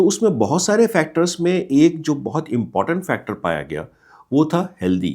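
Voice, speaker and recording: Despite a dark, mellow tone, a man's fairly high voice carries vocal fry and very wide pitch swings. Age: 60s. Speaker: retiree giving life advice. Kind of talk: motivational talk. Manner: explanatory.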